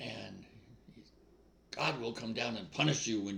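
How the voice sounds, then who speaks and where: Speaking at a moderate pace, a man with an American accent has a bright, sharp tone. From New England, US. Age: 80s+. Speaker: spiritual speaker. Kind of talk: casual spiritual monologue. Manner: informal, off the cuff.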